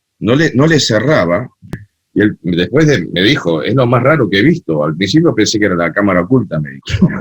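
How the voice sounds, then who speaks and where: Moving at a fairly quick pace, a man with fairly low pitch makes very wide pitch swings. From Argentina, Buenos Aires. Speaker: cumbia festival organizer and DJ. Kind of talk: interview conversation.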